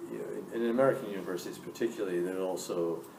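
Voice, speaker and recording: Very deep, low male speech amid noticeable background noise and audible room echo. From Scotland. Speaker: business school dean. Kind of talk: Q&A interview with students.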